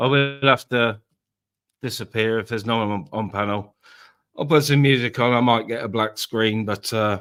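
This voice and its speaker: A man with an English accent at a medium pitch, moderate pace and fairly even intonation, in a very clean recording with a silent background. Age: 40s. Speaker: live streamer. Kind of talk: casual chat. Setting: live stream.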